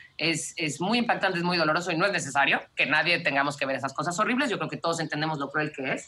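Very deep and low for a woman, her voice carries a Mexican accent and ordinary pitch variation as she speaks very fast with hardly any pauses amid noticeable background noise. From Mexico (Mexico City, raised in Cancún). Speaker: wildlife conservationist. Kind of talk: interview conversation.

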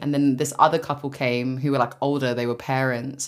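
In a London accent, a woman with a very deep, low pitch speaks in an animated tone. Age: 20s. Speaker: podcast co-host. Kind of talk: casual chat.

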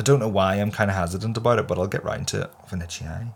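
On a very clean recording with a silent background, a man with a Northern Irish accent speaks at a fairly quick pace. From Northern Ireland. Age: 30s. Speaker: podcaster. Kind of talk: casual chat. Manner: animated.

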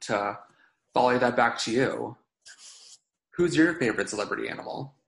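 A man's medium-pitched voice with vocal fry and ordinary pitch variation. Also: long, frequent pauses. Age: 20s. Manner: halting.

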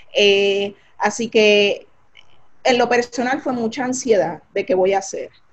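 With an unremarkable speaking voice, a woman speaks at a fairly slow pace and fairly high pitch, using ordinary pitch variation. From Puerto Rico, Carolina. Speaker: physician, physiatrist. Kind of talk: interview about her life story.

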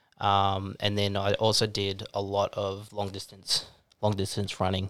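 A fairly low-pitched man with an Australian accent and monotone, flat intonation. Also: very clean recording, silent background. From Australia, Gold Coast. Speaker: videographer and trekker. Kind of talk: interview storytelling. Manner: hesitant, many ums.

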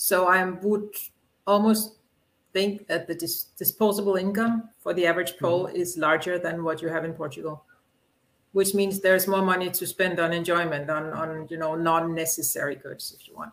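With a Danish accent, a woman speaks at a fairly low pitch, her loudness swinging widely. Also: fairly even intonation, moderate pace. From Denmark. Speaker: comic book publisher. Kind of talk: interview.

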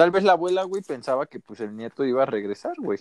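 With a Mexican accent, a man talks at a fairly quick pace and makes very wide pitch swings. The sound is dry and close, with no echo. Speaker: podcast co-host. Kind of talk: casual chat.

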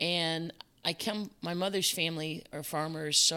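The speaker talks at a fairly slow pace with an American accent. The recording is very clean, with a silent background. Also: woman. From Chicago area, US. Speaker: business owner, former parks manager. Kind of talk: casual interview.

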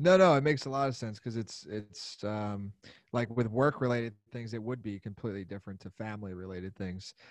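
A man with a Pennsylvania accent speaks at a fairly quick pace. His pitch is fairly low, with ordinary variation. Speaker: podcast host. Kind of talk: show intro; interview.

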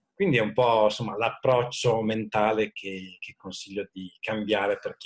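At a moderate tempo, a man talks in a dry, close sound with no echo. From Italy, Modena (Emilia). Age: 40s. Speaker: IT manager. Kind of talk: interview.

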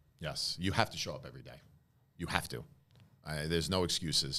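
Over a very clean, silent background, a man with a very deep, low pitch and vocal fry talks at a fairly quick pace with ordinary pitch variation. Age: 40s. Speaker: insurance agent, former stockbroker. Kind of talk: podcast interview.

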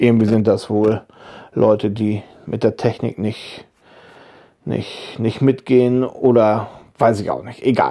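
In a relaxed, dark, mellow tone, a man speaks at a very slow pace and medium pitch with fairly even intonation and long, frequent pauses, in a very clean recording with a silent background. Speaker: YouTuber and woodworking podcaster. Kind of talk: casual monologue. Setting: lying in bed at home. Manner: relaxed, hesitant with fillers.

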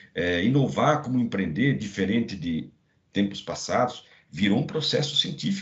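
Vocal fry runs through the medium-pitched voice of a man who talks at a moderate pace, his pitch swinging very widely. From Brazil, Santa Catarina interior. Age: 50s. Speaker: business executive and MBA professor. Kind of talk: podcast interview.

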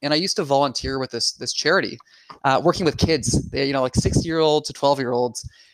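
Sounding enthusiastic, a man talks very fast at a medium pitch, the sound dry and close with no echo. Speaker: podcast co-host, lawyer. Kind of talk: casual interview.

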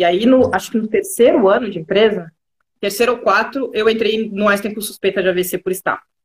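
A woman talks at a fairly quick pace in a somewhat breathy, fairly high voice with fairly even intonation. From Rio Grande do Sul, Brazil (Pelotas). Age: 30s. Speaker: digital transformation specialist. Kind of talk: live interview.

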